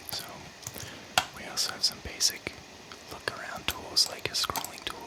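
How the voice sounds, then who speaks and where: A man whispering over noticeable background noise. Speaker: audio engineer and music producer. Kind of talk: tutorial. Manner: quiet.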